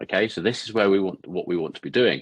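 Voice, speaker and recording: Very fast and fairly low, a man's voice comes through dry and close with no echo. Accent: British. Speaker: podcast host, ads marketer. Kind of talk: tutorial. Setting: studio, talking to camera. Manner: halting.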